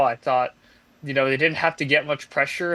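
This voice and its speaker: A man with a fairly high pitch and a bright, sharp tone speaks at a fairly quick pace. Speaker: sports podcast co-host. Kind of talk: casual sports chat. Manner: monotone.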